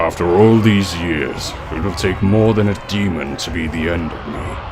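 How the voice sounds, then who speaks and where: A man's put-on character voice, very deep and low, at a moderate pace over loud background noise. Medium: audio drama.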